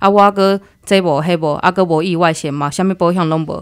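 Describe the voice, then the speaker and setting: Captured on a very clean recording with a silent background, a woman with a normal speaking voice talks at a fairly low pitch and with fairly even intonation. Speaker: logistics worker abroad. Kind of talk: interview.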